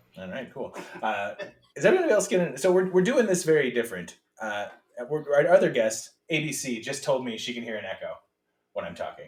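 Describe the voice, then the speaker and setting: The voice shows vocal fry and very wide pitch swings. Loudness swings widely, and the pace is fairly quick. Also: man, fairly high pitch for a man. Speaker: podcast host. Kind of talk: casual chat. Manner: calm.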